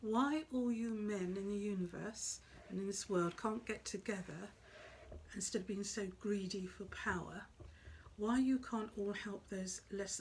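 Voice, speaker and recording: A soft-spoken woman talks at medium pitch with a somewhat breathy sound. Her pace is moderate and her pitch variation ordinary. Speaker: psychic medium. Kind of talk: spiritual talk to camera.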